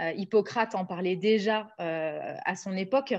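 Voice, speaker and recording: Over a quiet background, a woman speaks at a medium pitch with ordinary pitch variation. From southern France (Nice); southern France. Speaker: naturopath and author; guest. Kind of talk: interview. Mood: warm, enthusiastic. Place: home room. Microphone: video call.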